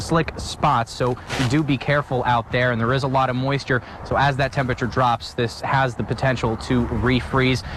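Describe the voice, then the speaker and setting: A man speaks at a moderate pace and a medium pitch, his loudness very even and his intonation fairly even, over noticeable background noise. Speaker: TV news reporter. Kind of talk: live TV news report on icy weather. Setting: outdoors.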